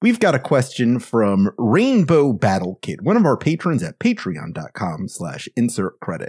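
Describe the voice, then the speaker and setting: Speaking at a fairly slow pace, a man uses vocal fry and very wide pitch swings. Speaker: podcast host. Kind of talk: casual panel podcast banter.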